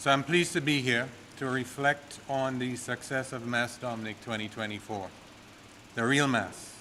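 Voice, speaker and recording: A man speaks at a moderate pace with fairly even intonation, and audible room echo surrounds his voice. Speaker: tourism authority executive. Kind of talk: formal speech at press conference. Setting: press conference at podium. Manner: soft-spoken.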